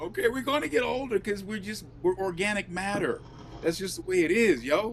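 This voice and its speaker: Over noticeable background noise, a man with a high pitch speaks at a fairly quick pace with lively intonation. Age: 60s. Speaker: live show co-host. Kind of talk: casual chat.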